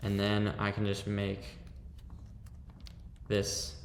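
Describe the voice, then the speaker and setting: Amid audible room echo, a man speaks at a fairly low pitch with vocal fry. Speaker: fashion design tutorial creator. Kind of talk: screen-recorded software tutorial.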